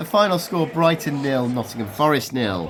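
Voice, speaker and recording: Speech at a moderate pace comes with noticeable background noise. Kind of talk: football matchday vlog voiceover.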